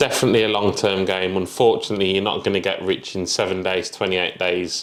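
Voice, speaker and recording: Very fast and monotone, a man talks with flat intonation at a very deep, low pitch. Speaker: property entrepreneur. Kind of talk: interview. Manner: casual.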